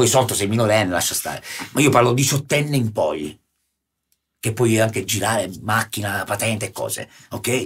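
A somewhat breathy man of medium pitch talks at a fairly quick pace with ordinary pitch variation, broken by long, frequent pauses. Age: 40s. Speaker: guest artist / local personality. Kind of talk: casual chat. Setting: studio.

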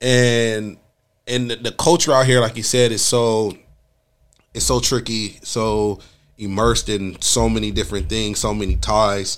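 This is an unremarkable speaking voice: a man with an American accent, medium pitch, fairly even intonation and a moderate pace. The recording is very clean, with a silent background. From Los Angeles. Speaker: podcast host. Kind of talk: casual interview.

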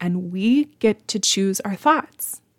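A woman's plain, everyday voice at a medium pitch, fairly slow, with lively intonation. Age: 30s. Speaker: podcast host, food blogger. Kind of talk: solo podcast monologue, mindset coaching. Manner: casual, conversational.

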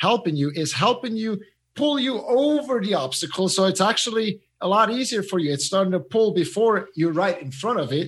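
Lively intonation with a Swiss accent, at a fairly quick pace over a quiet background. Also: man. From Switzerland. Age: 30s. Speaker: mindset coach and former swimmer. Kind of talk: casual interview. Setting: remote call from Zurich.

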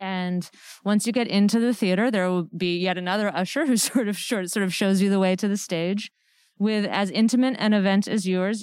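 In an American accent, an unremarkable speaking voice moves at a fairly quick pace with fairly even intonation, in a very clean recording with a silent background. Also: woman. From Connecticut. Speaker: theater director. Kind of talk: casual interview. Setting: empty theater.

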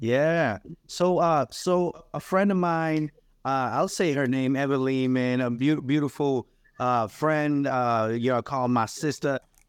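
A man with a normal speaking voice, fairly high-pitched, in an American accent, at a fairly slow pace, with ordinary pitch variation, very even loudness, and a quiet background. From New Bedford, Massachusetts (Cape Verdean family). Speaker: writer and musician. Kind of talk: casual interview.

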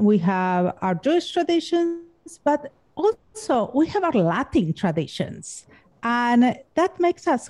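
A woman with a Spanish accent talks at a very slow pace in a high pitch. Her pitch swings very widely, and the background is quiet. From Argentina. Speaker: podcast host. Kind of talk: casual interview chat.

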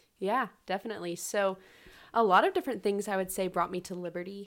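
Speaking very fast at a medium pitch, a woman with an American accent comes through in a very clean recording over a silent background. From Charlotte, North Carolina. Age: 20s. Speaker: college student, missionary. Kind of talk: casual chat.

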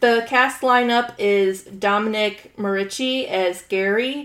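This woman's voice is fairly high in pitch, with ordinary variation in its rise and fall. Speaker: podcast co-host. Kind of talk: casual chat. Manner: loud; sounds annoyed.

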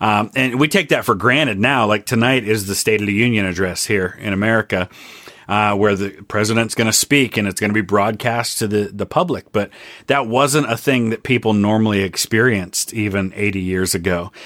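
A man speaks at a fairly quick pace in an ordinary speaking voice, his fairly low pitch showing ordinary pitch variation. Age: 40s. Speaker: history YouTuber. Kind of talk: casual chat.

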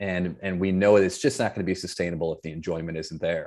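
A man's very deep, low voice in an American accent, fairly quick and fairly even in intonation, in a very clean recording with a silent background. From Michigan, US Midwest (Flint). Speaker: leadership coach and improv comedian. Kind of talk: podcast interview. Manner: halting, many fillers and repeated words.

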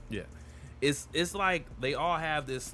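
A man at a very slow pace with ordinary pitch variation, music in the background. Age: 30s. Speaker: podcast co-host. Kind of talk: casual chat over beer. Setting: video recording. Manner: animated.

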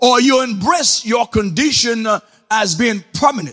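Pitch leaps across a very broad range in this man's speech. He goes fairly slowly. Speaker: preacher. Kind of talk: sermon. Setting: church with online chat audience. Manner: animated; loud, call-and-response, repeating phrases.

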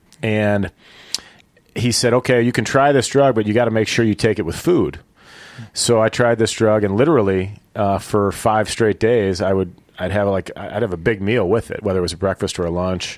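In a very clean recording with a silent background, a man with an American accent uses a normal speaking voice, fairly low in pitch with ordinary pitch variation, at a moderate pace. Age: 40s. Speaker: professional golfer. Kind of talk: interview.

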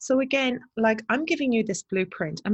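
A woman speaks with lively intonation and a somewhat breathy quality. The background is quiet. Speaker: podcast host for agency owners. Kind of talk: solo monologue. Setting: borrowed office in New Haven.

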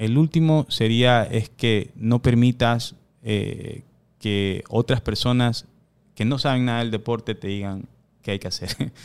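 Fairly slow delivery and ordinary pitch variation mark an ordinary speaking voice. The background is silent on a very clean recording. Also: man, medium pitch for a man. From New York, USA (Ecuadorian-born, raised in US from age 4). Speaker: boxing coach. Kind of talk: casual chat.

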